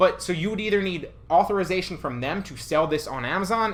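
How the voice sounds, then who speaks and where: He speaks at a very fast pace. His voice is high-pitched for a man. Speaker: online reseller and YouTube educator; online reseller, YouTube educator. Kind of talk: tutorial. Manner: animated. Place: home room.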